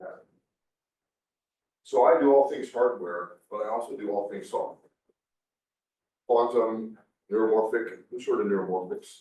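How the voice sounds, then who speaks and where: A man speaks at a moderate pace with long, frequent pauses. His loudness swings widely, and the room echo is audible. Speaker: defense research engineer. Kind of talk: conference talk.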